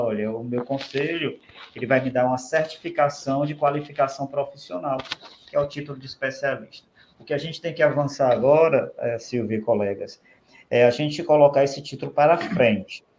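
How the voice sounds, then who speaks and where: In a Ceará accent, a man with a fairly high pitch talks at a fairly quick pace with big swings in loudness. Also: ordinary pitch variation. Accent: Ceará accent, open prolonged vowels. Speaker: speech therapist, professional council official. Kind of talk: podcast interview.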